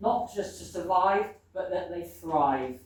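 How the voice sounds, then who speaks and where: Very wide pitch swings from a woman at medium pitch, with audible room echo. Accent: New Zealand. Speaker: local election candidate. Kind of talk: candidate campaign speech. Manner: loud.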